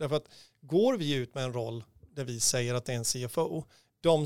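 A man with a plain, everyday voice speaks at a medium pitch and moderate pace with ordinary pitch variation, in a very clean recording with a silent background. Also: dry, close sound with no echo. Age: 50s. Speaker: recruitment consultant. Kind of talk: casual chat.

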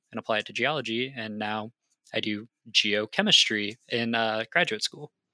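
In a very clean recording with a silent background, a man with an American accent speaks in a bright, sharp tone that sounds dry and close with no echo. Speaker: geologist. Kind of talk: interview.

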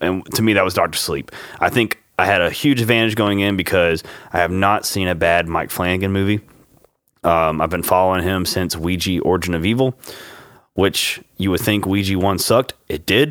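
A man speaks with a Louisiana accent at a moderate pace. His pitch is very deep and low, with ordinary variation. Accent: Southern US (Louisiana). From US Louisiana. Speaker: podcast host. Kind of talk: casual chat. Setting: home studio.

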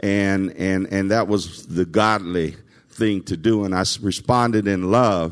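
A man speaks very slowly at a fairly low pitch. His intonation is fairly even, and the background is quiet. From US South, Nashville, Tennessee. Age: 60s. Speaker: civil servant. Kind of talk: testimony. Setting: stage with audience. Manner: halting.

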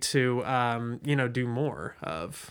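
The speaker has an American accent. He is a man. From Southwest Ohio (West Chester). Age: 20s. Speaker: podcast host, journalist. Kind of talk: interview.

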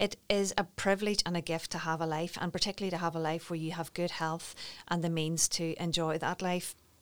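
Speaking at a fairly quick pace in a Northern Irish accent, a woman keeps a fairly low pitch and a monotone, flat intonation. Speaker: wellbeing business founder. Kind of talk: interview.

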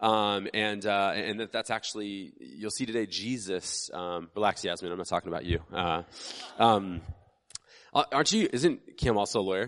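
This man has a plain, everyday voice pitched fairly low. He talks at a moderate pace with ordinary pitch variation. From United States. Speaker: pastor. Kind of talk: sermon. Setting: church with congregation. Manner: casual, conversational with frequent fillers.

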